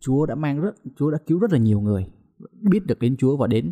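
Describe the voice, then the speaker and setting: The man's tone is dark and mellow. He talks at a fairly quick pace, with a dry, close sound that has no echo. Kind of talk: casual chat.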